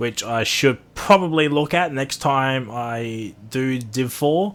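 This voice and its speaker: A man's medium-pitched voice with an Australian accent, ordinary pitch variation and a very slow pace. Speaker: sim racing commentator. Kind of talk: live commentary. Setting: live stream. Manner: loud; casual, rambling with fillers.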